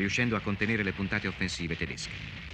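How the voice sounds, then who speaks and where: A man at a very fast pace with ordinary pitch variation over noticeable background noise. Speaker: documentary narrator. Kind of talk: scripted documentary narration.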